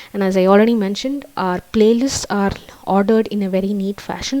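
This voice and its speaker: Amid noticeable background noise, a woman with a Tamil accent talks fairly quickly at a medium pitch. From South India. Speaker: YouTuber giving immigration advice. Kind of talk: live stream chat. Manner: hesitant, many fillers. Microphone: laptop.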